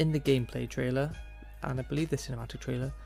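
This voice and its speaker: A man is speaking. Music plays in the background. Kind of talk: video game commentary narration. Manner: monotone; stuttering.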